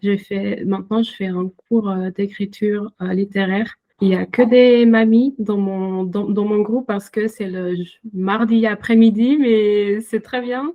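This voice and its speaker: Speaking with a non-native accent, a woman keeps a medium pitch and fairly even intonation. Her pace is very slow, yet she hardly pauses. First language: not French (speaking French). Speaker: illustrator and author. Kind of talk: interview. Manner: halting, many hesitations.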